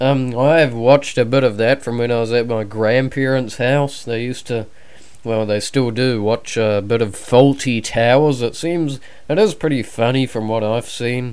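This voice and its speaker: Medium-pitched male speech with a New Zealand accent and fairly even intonation. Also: moderate pace. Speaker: podcast guest, YouTuber. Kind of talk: casual chat.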